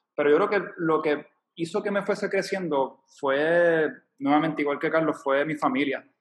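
A man with an unremarkable speaking voice talks at a moderate pace, showing ordinary pitch variation. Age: 30s. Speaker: volunteer. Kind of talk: casual chat.

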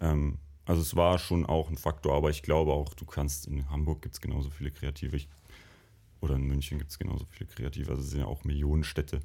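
Very fast and monotone, the speech has a dark, mellow tone with vocal fry and flat intonation. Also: man, very deep, low pitch for a man. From Bavarian Lake Constance area, near Lindau. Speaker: university alumnus, designer. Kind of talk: casual interview chat. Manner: hesitant, many fillers.

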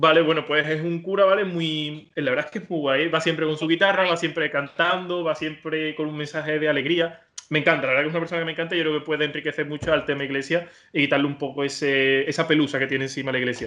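Fairly high male voice, very fast, with fairly even intonation. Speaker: podcast host. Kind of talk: casual interview.

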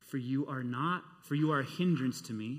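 In a very clean recording with a silent background, a man's bright, sharp voice is raised and projected at a moderate pace. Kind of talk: sermon. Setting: church with live congregation. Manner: animated, fervent, preaching in full flow; loud, rowdy, with jokes and rhetorical questions.

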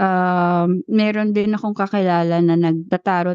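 A woman speaks at a fairly low pitch with a dark, mellow tone and ordinary pitch variation. The sound is dry and close, with no echo. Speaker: podcast co-host. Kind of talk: casual chat.

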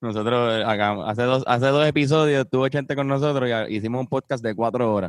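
A man at a very fast pace with hardly any pauses and ordinary pitch variation. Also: medium pitch for a man. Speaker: podcast host. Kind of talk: casual chat. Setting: video call from home.

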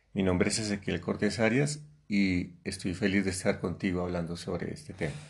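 In a very deep, low voice, a man talks at a fairly quick pace. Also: ordinary pitch variation. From Colombia. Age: 50s. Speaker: host's father, guest. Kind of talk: casual conversational podcast. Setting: sitting next to his daughter.

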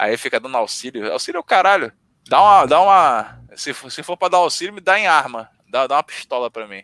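Dry and close with no echo, the voice has a bright, sharp tone, very wide pitch swings, big swings in loudness and a fairly quick pace. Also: man. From Rio de Janeiro, Brazil. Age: 20s. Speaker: podcast guest. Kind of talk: casual chat.

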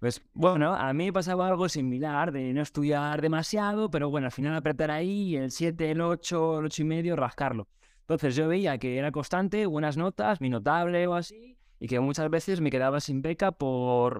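This man has an ordinary speaking voice with a fairly high pitch. He talks at a moderate pace with ordinary pitch variation. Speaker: teacher trainer. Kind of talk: casual interview.

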